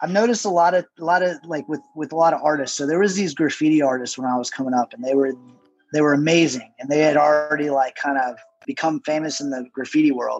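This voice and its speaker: Talking very fast over music in the background, a man uses a fairly high pitch with ordinary pitch variation. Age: 40s. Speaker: tattoo artist. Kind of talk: casual chat.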